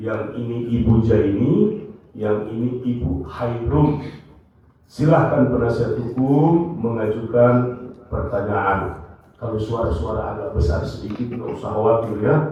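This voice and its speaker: A man speaks at a medium pitch and a fairly slow pace, with audible room echo and noticeable background noise. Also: ordinary pitch variation. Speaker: presiding judge. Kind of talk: courtroom proceedings. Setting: courtroom. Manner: formal.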